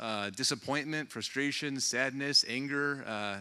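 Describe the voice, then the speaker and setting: Loud delivery with a bright, sharp tone, ordinary pitch variation and moderate pace. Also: man. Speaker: baseball team general manager. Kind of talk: keynote speech. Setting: stage with audience. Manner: halting, many fillers.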